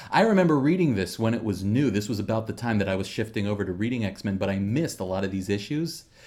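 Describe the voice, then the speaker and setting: The speech races along very fast with lively intonation and hardly any pauses. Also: man, fairly low pitch for a man. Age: 40s. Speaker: comics podcast co-host. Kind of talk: casual chat.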